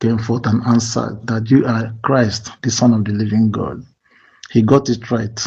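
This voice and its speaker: Speaking quietly in a Nigerian accent, the voice is somewhat breathy with a dark, mellow tone and a monotone, flat intonation. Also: man. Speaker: community movement admin. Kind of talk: voice note response. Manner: lowered, quiet voice; hesitant, many fillers.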